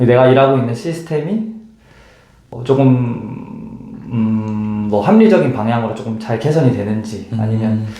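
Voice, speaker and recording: A medium-pitched man at a fairly slow pace, with ordinary pitch variation and long, frequent pauses. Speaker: intensive care nurse. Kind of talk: interview answer.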